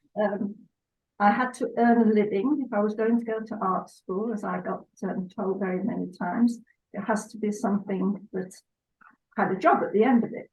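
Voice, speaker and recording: Fairly high-pitched and somewhat breathy, a woman's voice at a moderate pace with fairly even intonation. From northern England, Salford, Lancashire. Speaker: pet portrait artist. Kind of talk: casual interview. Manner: halting.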